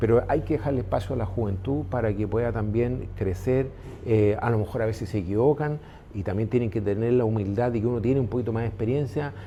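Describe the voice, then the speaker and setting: A medium-pitched man at a very fast pace, ordinary pitch variation, audible room echo. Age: 60s. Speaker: business owner. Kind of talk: interview conversation. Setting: restaurant. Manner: halting, many fillers.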